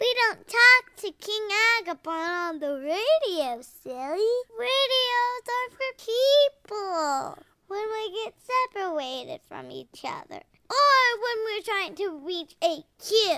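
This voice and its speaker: A woman performs a put-on character voice, squeaky and extremely high in pitch, at a fairly slow pace. Her loudness swings widely, and the sound is dry and close with no echo. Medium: audio drama. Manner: bubbly, enthusiastic.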